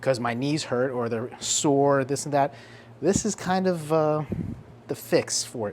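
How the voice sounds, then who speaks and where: A man with a New Jersey accent speaks at a moderate pace. His voice sits fairly high, with ordinary pitch variation. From New Jersey, Central Jersey. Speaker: fitness vlogger. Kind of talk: casual vlog. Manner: animated.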